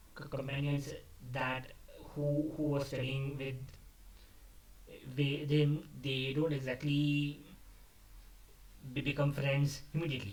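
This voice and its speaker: A man with a fairly high pitch speaks at a fairly slow pace in a monotone, flat intonation, leaving long, frequent pauses. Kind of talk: casual talk to camera. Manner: unscripted, halting.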